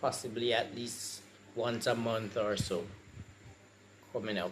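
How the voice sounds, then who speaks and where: With audible room echo, a man speaks at a very slow pace in a medium pitch. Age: 60s. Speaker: patient sharing experience. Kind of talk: testimony.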